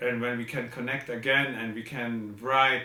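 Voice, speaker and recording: With a non-native accent, a man at a medium pitch speaks at a fairly slow pace, with audible room echo around him. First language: not English. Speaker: composer. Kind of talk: video message. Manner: halting.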